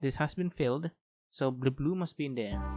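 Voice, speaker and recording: A man with a non-native accent, medium in pitch with ordinary pitch variation, dry and close with no echo, on a very clean recording with a silent background. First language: not English. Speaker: gaming youtuber. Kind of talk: let's play commentary. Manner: halting; thinking aloud.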